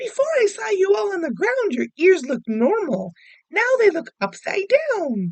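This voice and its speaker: Putting on a squeaky character voice, a woman talks at a moderate pace with extremely high pitch and very wide pitch swings. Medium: read story.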